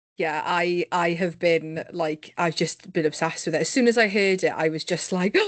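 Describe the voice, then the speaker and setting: This woman speaks with a Cardiff accent. She hardly pauses at all. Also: fairly low pitch for a woman. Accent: Welsh (Cardiff). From Wales, Cardiff. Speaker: podcast host. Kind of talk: casual interview chat. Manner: fast, animated.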